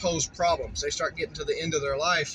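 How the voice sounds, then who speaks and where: A man talks over noticeable background noise. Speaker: vlogger, rural landowner. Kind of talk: casual vlog narration while driving. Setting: in a car. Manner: loud; relaxed, rambling with fillers.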